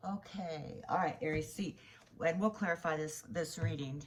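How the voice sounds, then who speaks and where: A woman speaks with a very deep, low pitch, a somewhat breathy quality and ordinary pitch variation. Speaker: tarot reader. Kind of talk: tarot reading. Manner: soft-spoken; halting.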